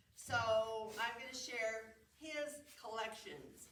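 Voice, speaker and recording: Over noticeable background noise and audible room echo, a woman speaks very slowly at a fairly high pitch with ordinary pitch variation. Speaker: museum program presenter showing nativity sets. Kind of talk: show and tell talk. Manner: loud; halting.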